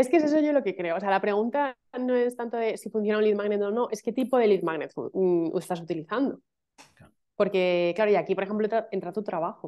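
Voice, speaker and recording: Over a quiet background, a woman talks at a very fast pace with ordinary pitch variation. She leaves long, frequent pauses. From Madrid, Spain; Spain. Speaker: email marketing specialist; interview guest. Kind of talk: casual interview chat. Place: home room. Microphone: video call.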